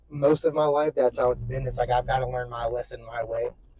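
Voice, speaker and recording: A man's voice, dry and close with no echo. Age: 20s. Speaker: fitness vlogger. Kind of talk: casual vlog monologue. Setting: in a car. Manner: casual, rambling.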